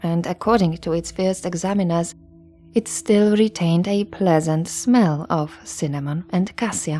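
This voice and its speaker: A soft-spoken woman at a fairly low pitch, moderate pace and ordinary pitch variation, with music in the background. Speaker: history podcast narrator. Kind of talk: sleep story history narration. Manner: soft, calm ASMR narration.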